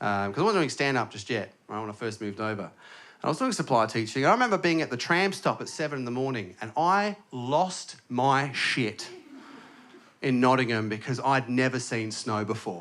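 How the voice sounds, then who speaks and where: A man speaks in an Australian accent at a medium pitch. His pace is moderate and his intonation lively. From Australia, Adelaide. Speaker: stand-up comedian. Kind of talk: stand-up. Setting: stage with audience.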